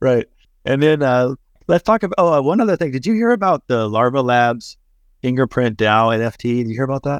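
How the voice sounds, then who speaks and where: In an ordinary speaking voice, a man with an American accent talks at a fairly quick pace and medium pitch with lively intonation, recorded dry and close with no echo against a quiet background. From Texas. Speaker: podcast host. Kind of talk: casual chat. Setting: remote call. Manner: fast, filler-heavy.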